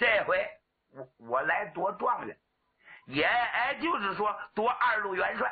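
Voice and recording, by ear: A man puts on a character voice, pitched high with a slightly husky edge. He speaks at a fairly slow pace with lively intonation.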